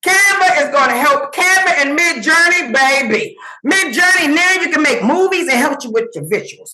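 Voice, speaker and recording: A woman's high, raised and projected voice, animated and energetic, with very wide pitch swings at a moderate pace. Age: 60s. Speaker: summit speaker, AI content creator. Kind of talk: motivational presentation. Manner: animated, energetic.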